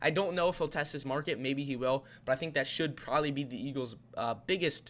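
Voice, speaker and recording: A man speaks at a very fast pace with ordinary pitch variation. His pitch is fairly high. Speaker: sports YouTuber. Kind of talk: casual commentary monologue.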